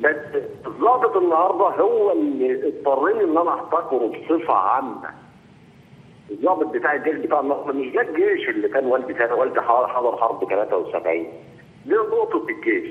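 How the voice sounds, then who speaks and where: A man keeps a very even loudness and a moderate pace. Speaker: caller. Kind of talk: phone-in opinion. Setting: phone call. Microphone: phone line.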